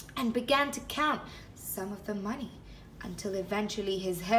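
The reading voice is unforced. Its pitch moves up and down in an ordinary way.

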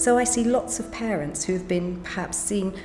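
With clear music in the background, a woman speaks at a moderate pace and ordinary pitch variation. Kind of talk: interview answer. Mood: calm, reassuring. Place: home room.

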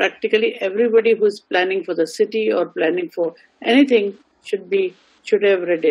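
A woman with an Indian accent speaks at a fairly quick pace and medium pitch, with ordinary pitch variation, against a quiet background. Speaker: university vice chancellor. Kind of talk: formal address. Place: home room. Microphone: video call.

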